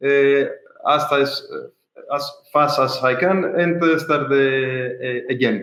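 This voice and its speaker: In a Greek accent, the voice moves at a very slow pace in a flat monotone, with audible room echo. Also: man. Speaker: ultra-endurance swimmer. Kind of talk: interview. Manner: halting, many fillers.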